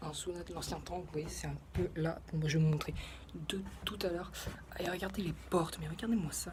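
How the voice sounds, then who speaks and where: Someone soft-spoken talks at a moderate pace. Noticeable background noise is present. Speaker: travel vlogger. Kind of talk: casual vlog tour. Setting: outdoors and inside museum houses. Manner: hesitant, many fillers; speaking softly indoors.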